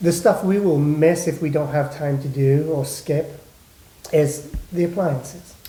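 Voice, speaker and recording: A man with a fairly high pitch and fairly even intonation speaks at a fairly slow pace over noticeable background noise. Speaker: home inspector. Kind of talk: casual chat.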